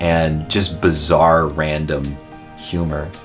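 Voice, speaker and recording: With music in the background, a man talks at a very deep, low pitch. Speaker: pharmacist. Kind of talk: interview answer.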